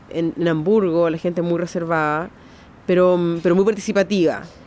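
A woman talks in an unremarkable speaking voice at a medium pitch. Her intonation stays fairly even. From Chile. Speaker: artist. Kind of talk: interview testimony.

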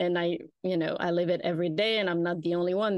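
A woman speaks at a moderate pace in a French accent. Her fairly low voice has monotone, flat intonation. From rural France. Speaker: PR consultancy founder. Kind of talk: interview conversation.

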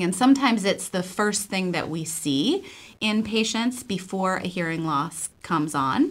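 Fairly slow and fairly low in pitch, a woman speaks in an American accent with an unremarkable speaking voice. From Buffalo, New York. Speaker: audiologist. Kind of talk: radio interview.

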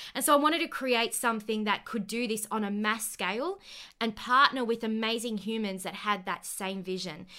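Bright and sharp in tone, this animated speaker talks at a moderate pace with an Australian accent and ordinary pitch variation, on a very clean recording with a silent background. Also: woman, fairly high pitch for a woman. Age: 20s. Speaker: podcast host and company co-founder. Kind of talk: casual interview chat; scripted outro.

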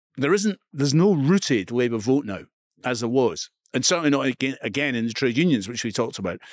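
A man with an Edinburgh accent talks at a very fast pace and a medium pitch. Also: lively intonation, dry, close sound with no echo, very clean recording, silent background. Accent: Scottish (Edinburgh). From Scotland, Edinburgh. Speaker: author and media presenter. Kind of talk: interview conversation.

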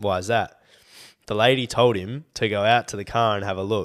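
A man with an Australian accent at a fairly quick pace, fairly even in intonation, in a very clean recording with a silent background. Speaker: podcast co-host. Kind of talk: casual chat. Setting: studio.

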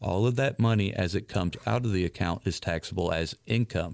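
On a very clean recording with a silent background, a man with a very deep, low pitch and vocal fry speaks at a moderate pace with ordinary pitch variation. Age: 40s. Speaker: financial advisor, radio show host. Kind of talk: financial advice radio talk.

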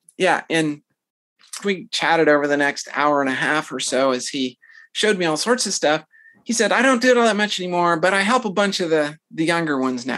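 With an American accent, a woman speaks fairly quickly in a plain, everyday voice, her pitch fairly low and her intonation lively, against a quiet background. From US South, Tennessee. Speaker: retired military pilot and university instructor. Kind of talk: interview.

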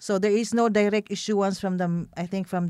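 A dark, mellow tone with a Filipino accent, fairly even intonation and moderate pace, on a very clean recording with a silent background. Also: woman. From Philippines. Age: 50s. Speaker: business owner and community leader. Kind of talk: interview. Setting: office studio.

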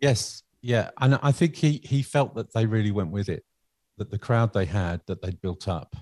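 A man's normal speaking voice, fairly low in pitch, with lively intonation at a moderate pace, dry and close with no echo against a quiet background. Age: 50s. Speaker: music lecturer and composer. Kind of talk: casual interview.

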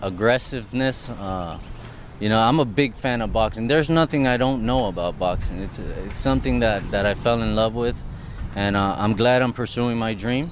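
Over noticeable background noise, a man with a medium pitch talks with ordinary pitch variation. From Miami, Florida, Puerto Rican and Colombian heritage. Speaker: professional boxer. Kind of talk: interview. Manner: halting.

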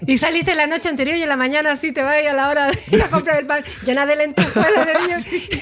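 A woman's high-pitched voice at a very fast pace, ordinary in pitch variation, over noticeable background noise. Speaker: sex educator podcast co-host. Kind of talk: casual chat.

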